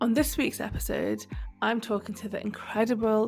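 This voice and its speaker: Music plays in the background as a woman speaks. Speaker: podcast host. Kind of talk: podcast intro.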